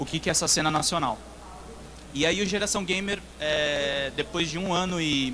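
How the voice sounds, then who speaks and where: Noticeable background noise and audible room echo surround a man with a São Paulo accent. He speaks at a moderate pace, with a fairly high pitch and ordinary pitch variation. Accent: São Paulo accent with dragged R's. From São Paulo, Brazil. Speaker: games journalist. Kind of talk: conference talk. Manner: hesitant, many filler sounds.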